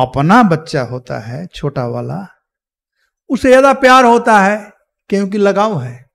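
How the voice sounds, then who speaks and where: Against a quiet background, a man with a high pitch speaks at a very slow pace with very wide pitch swings. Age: old. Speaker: Hare Krishna preacher giving Ramayana discourse. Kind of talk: religious discourse. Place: hall. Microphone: podium.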